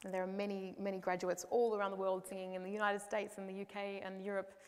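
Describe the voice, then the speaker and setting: Here is a woman with an Australian accent. Her intonation is monotone and flat. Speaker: opera singer. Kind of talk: interview answer.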